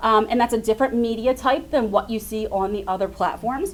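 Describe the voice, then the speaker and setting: A woman is speaking here. Her voice sits fairly high. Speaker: social media marketing speaker. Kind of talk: seminar presentation. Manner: fast.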